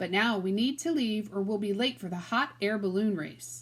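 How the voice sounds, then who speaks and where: Using a put-on character voice, a woman speaks at a medium pitch. Her intonation is lively and her pace moderate. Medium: read story. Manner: calm, warm.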